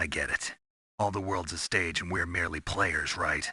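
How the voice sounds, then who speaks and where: Growling in a put-on character voice, a man speaks at a very deep, low pitch. He keeps a moderate pace against a quiet background. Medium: video game. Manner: terse, low-key.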